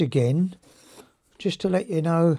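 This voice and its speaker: A man's high-pitched voice at a fairly slow pace, with ordinary pitch variation and a quiet background. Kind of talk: tutorial. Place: workshop.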